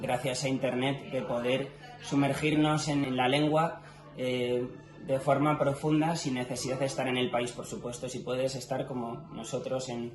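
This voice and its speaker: A man speaks with a Madrid accent. Music plays in the background and the room echo is audible. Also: medium pitch for a man, fairly even intonation, fairly slow pace. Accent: central Spain (Madrid) Spanish. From Spain, Madrid. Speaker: language teacher YouTuber. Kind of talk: interview. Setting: mountain hut in Swiss Alps. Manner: hesitant, many fillers.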